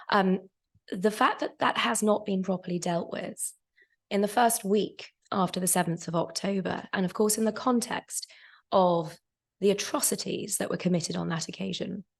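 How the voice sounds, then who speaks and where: The woman's voice is somewhat breathy, and her pitch shifts in an ordinary way. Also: medium pitch for a woman, moderate pace. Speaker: lawyer on a debate panel. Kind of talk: panel debate. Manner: halting, many fillers; formal.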